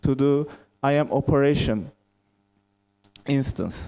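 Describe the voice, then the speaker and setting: Dark and mellow in tone, a man with a Turkish accent speaks at a moderate pace and fairly high pitch. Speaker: software testing lead. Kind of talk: conference talk.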